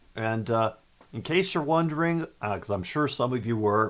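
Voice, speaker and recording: A loud man talks with very wide pitch swings. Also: very clean recording, silent background. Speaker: sports talk show host. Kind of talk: live streamed sports chat reading chat comments. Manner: casual, with many fillers.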